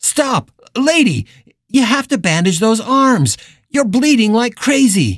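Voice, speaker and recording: A female-sounding voice speaks in a put-on character voice. It has a fairly high pitch and a fairly slow pace. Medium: read story. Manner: commanding, shouting orders.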